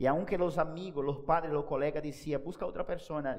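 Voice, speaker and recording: A man speaks at a moderate pace with a Spanish accent, his pitch fairly high with ordinary variation. Some room echo is audible. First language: Spanish (speaking Portuguese). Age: 30s. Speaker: pastor. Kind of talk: sermon.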